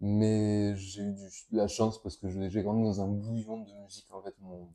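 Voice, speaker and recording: A man with a southern French accent, fairly low in pitch, with a dark, mellow tone, fairly even intonation and a quiet background. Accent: southern French (Toulouse). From Toulouse area, southern France (countryside near Verfeil). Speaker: guitarist and composer. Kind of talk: interview. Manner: halting, many hesitations.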